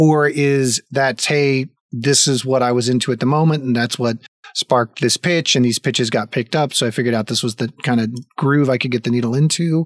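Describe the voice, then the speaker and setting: A man with an American accent speaks at a medium pitch. His intonation is fairly even and his loudness very even. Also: fairly quick pace, dry, close sound with no echo. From US South. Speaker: podcast host. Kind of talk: casual interview chat. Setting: live stream. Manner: halting, many fillers.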